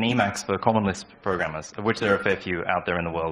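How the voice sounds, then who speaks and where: A man with an Australian accent, very fast pace and lively intonation. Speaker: software developer; conference speaker. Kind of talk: conference talk. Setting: stage with audience. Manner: halting. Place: hall. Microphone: handheld.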